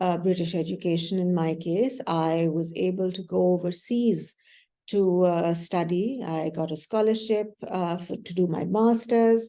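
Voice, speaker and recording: Speaking at a fairly slow pace, a woman has a fairly low pitch, ordinary pitch variation and a dark, mellow tone. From Pakistan. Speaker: development practitioner. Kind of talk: panel discussion. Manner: hesitant, many fillers.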